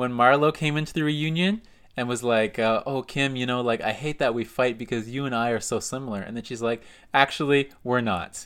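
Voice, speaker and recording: An unremarkable speaking voice, fairly quick and with ordinary pitch variation, on a very clean recording against a silent background. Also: man, medium pitch for a man. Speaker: podcast co-host. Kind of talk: casual chat.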